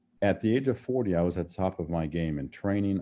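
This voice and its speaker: With an American accent, a man with a very deep, low pitch and a dark, mellow tone talks at a fairly quick pace over a quiet background. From Ohio, US Midwest. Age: 60s. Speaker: business and mindset coach. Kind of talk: guest talk on team call.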